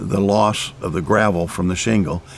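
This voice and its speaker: A man at a fairly slow pace against noticeable background noise. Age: 70s. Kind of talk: testimony. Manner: hesitant, with fillers and repeats.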